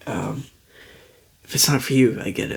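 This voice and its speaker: A man is whispering. His pace is moderate. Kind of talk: casual talk to camera. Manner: soft-spoken.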